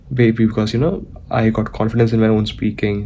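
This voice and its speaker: Over noticeable background noise, a man talks at a moderate pace in a fairly low pitch with fairly even intonation. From India. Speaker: vlogger. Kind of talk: vlog monologue. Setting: indoors, talking to camera. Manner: halting, with self-corrections.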